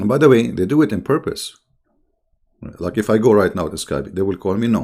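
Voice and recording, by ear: A man speaks at a fairly quick pace with lively intonation, his pitch fairly low and his tone slightly mellow.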